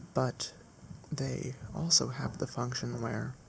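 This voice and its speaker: A man speaks at a very slow pace. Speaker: ASMR botany channel host. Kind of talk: ASMR educational botany talk. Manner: soft-spoken, slow, with frequent hesitation fillers.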